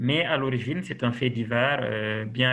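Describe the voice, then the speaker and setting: This man talks very slowly, his medium-pitched voice held to a fairly even intonation. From Senegal. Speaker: novelist. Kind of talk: interview.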